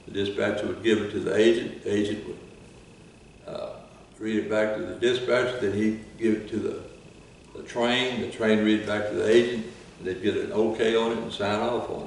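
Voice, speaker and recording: A man with an American accent at a fairly quick pace, noticeable background noise behind him. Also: big swings in loudness. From Texas. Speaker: retired railroad worker. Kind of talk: oral history interview answer.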